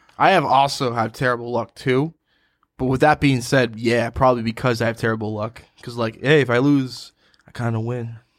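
A plain, everyday voice from a man with an American accent, medium pitch, fairly even intonation and a moderate pace. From Quincy, Massachusetts. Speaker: recurring podcast guest. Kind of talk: casual chat.

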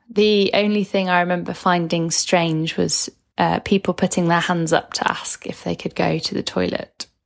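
A woman with a Manchester accent speaks at a moderate pace in a fairly low, monotone voice. The sound is dry and close, with no echo. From Manchester, England. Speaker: former home-educated student. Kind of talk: recorded testimony, read from notes.

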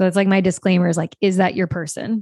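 A woman with an American accent and an ordinary speaking voice talks at a medium pitch with ordinary pitch variation, the sound dry and close with no echo over a quiet background. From US South, small-town Louisiana near New Orleans. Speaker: sex coach and business mentor. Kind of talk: casual interview chat.

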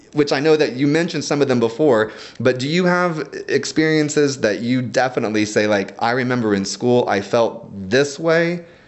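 A man in a normal speaking voice talks at a moderate pace with a medium pitch and lively intonation. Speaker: podcast host, education professional. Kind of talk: interview. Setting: studio.

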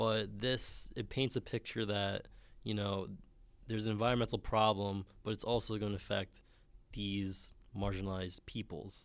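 In a very clean recording with a silent background, a man with a New York accent speaks at a moderate pace in a flat, monotone way. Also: fairly low pitch for a man. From Bronx, New York. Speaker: student co-host. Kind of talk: casual chat.

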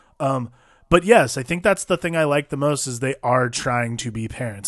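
Using a plain, everyday voice, a man talks with ordinary pitch variation, keeping a moderate pace and a medium pitch. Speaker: podcast host. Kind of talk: casual chat.

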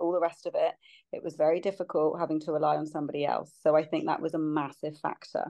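Speaking at a very fast pace with a British accent, a woman is heard against a quiet background. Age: 40s. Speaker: podcast guest sharing fertility journey. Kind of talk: casual chat.

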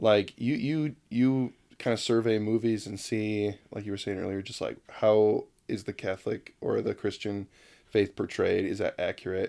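Moderately paced speech from a man, very clean, against a silent background. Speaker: podcast host. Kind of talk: casual chat.

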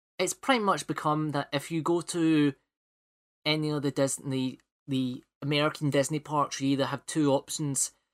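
In a Scottish accent, the speaker keeps a moderate pace on a very clean recording with a silent background and a dry, close sound with no echo. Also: man. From Scotland. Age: 20s. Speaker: podcast host. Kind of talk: casual chat; scripted narration. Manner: animated.

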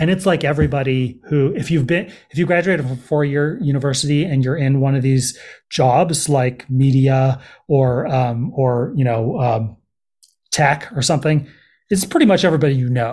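In a Californian accent, a man speaks at a fairly high pitch, somewhat breathy, at a fairly quick pace with ordinary pitch variation. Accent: Californian American. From US West Coast, San Francisco Bay Area. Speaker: journalist and documentary filmmaker. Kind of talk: podcast interview. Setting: remote call.

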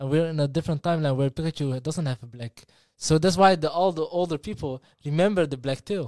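A man with a non-native accent speaks at a very fast pace and a fairly high pitch, with ordinary pitch variation and a dry, close sound with no echo. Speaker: podcast co-host. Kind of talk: casual chat. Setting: live stream. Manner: fast talker; stutters when speaking fast.

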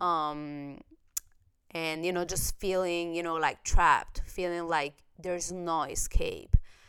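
A woman with an Italian accent speaks in a fairly low pitch. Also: fairly slow pace. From Italy. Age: 30s. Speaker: podcast host. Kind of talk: casual chat. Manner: animated; loud.

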